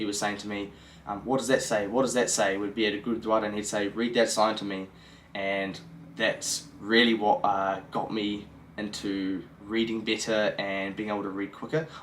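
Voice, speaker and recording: This man speaks in a New Zealand accent at a moderate pace. His voice sits fairly low, with fairly even intonation. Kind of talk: casual talk to camera.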